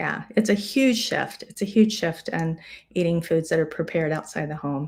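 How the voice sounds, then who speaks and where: An ordinary speaking voice from a woman, fairly low in pitch with ordinary pitch variation, at a moderate pace on a very clean recording with a silent background. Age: 60s. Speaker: physician. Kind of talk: live-streamed health talk. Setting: live stream. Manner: conversational.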